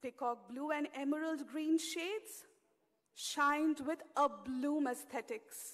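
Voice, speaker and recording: Speaking at a very slow pace in a high voice, a woman uses ordinary pitch variation over a quiet background. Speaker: poet. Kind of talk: poetry reading. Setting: stage with audience. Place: hall. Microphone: podium.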